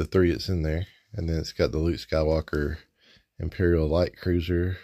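Against a quiet background, a man talks in a relaxed tone, very deep and low, with monotone, flat intonation. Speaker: toy reviewer. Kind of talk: unboxing review. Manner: casual, relaxed. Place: home room. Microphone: phone near.

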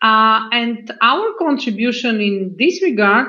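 Very slow delivery over a quiet background. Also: woman. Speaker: bank executive opening a panel. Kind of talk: formal opening speech. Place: office. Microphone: video call.

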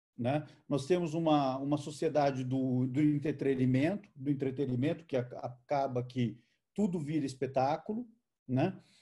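A man talks fairly slowly in a fairly high, somewhat breathy voice with a dark, mellow tone and fairly even intonation. The background is quiet. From Brazil, interior of São Paulo state. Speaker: photojournalist. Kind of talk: online conversation, talk. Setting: video call. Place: home room. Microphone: video call.

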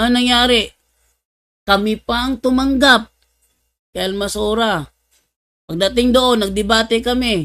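A man with an extremely high pitch and a bright, sharp tone raises and projects his voice with ordinary pitch variation. He speaks at a fairly slow pace with long, frequent pauses. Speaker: religious apologist / Bible debater. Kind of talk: livestream religious talk, storytelling. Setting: live stream. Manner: animated, laughing often.

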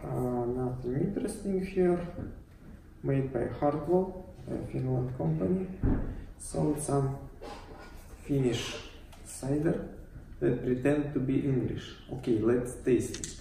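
With a Russian accent, a man speaks at a very slow pace with long, frequent pauses and lively intonation, amid light background noise and audible room echo. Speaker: YouTuber, cider reviewer; product reviewer. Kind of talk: product review vlog. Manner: halting, many fillers. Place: empty room. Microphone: camera far.

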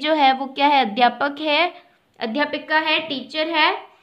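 A woman talks with an Indian accent and ordinary pitch variation. The background is quiet. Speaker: school teacher. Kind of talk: lesson. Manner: slow. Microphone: phone near.

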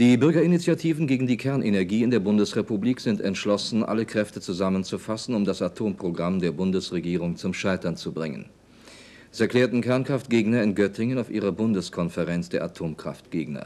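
The voice has a dark, mellow tone and lively intonation, moving at a fairly quick pace. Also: man, fairly low pitch for a man. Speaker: newsreader. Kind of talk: news reading; archival 1979 TV sign-off newscast. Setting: broadcast. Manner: formal; measured, even and authoritative. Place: studio.

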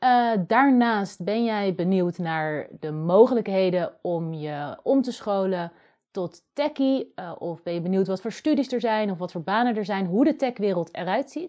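Against a quiet background, a woman with a medium pitch talks at a moderate pace with hardly any pauses. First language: Dutch. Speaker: video host and coding student; video host. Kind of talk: scripted narration. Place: home room.

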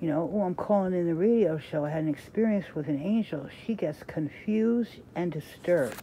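An unremarkable speaking voice moves at a fairly quick pace with hardly any pauses. The intonation is lively, over light background noise. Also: woman, fairly low pitch for a woman. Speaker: reader sharing a devotional book. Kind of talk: reading aloud with casual comments. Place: home room. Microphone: phone near.

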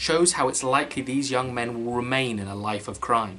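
Over faint background music, a man talks at a fairly quick pace. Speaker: film reviewer. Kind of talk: commentary. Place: home room.

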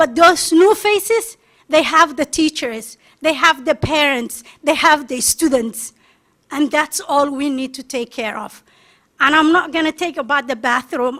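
Raised and projected, a woman's high-pitched voice carries a bright, sharp tone, moving at a moderate pace with ordinary pitch variation. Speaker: parent. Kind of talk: public testimony. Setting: school board meeting. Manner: emphatic.

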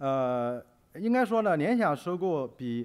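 Lively intonation marks this voice with a Chinese accent. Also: man. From China. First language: Mandarin Chinese. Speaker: business magazine editor; conference speaker. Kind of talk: conference presentation. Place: hall. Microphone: podium.

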